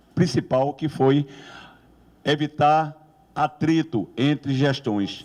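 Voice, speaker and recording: A man's fairly high voice at a very slow pace. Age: 60s. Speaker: professor running for rector. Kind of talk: election debate speech. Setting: campus debate with audience.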